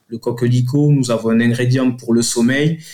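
With a southern French accent, a man talks at a fairly slow pace in a dark, mellow tone of medium pitch, his intonation fairly even. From southern France, Toulouse area. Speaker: company director. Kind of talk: radio interview. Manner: halting.

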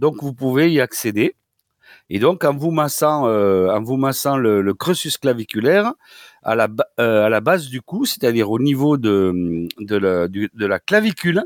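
A man in a southern French accent, very wide pitch swings, dry, close sound with no echo. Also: medium pitch for a man, fairly slow pace. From southwestern France. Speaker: doctor and osteopath. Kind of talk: radio advice segment. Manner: halting, many repetitions.

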